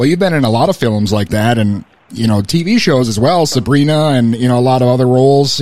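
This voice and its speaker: Here is a man with an ordinary speaking voice and an American accent, pitched in the medium range. He talks at a fairly quick pace with ordinary pitch variation. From Minnesota. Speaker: radio host. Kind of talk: radio DJ patter, a mock-serious show intro, then friendly interview questions. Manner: bantering, jokey.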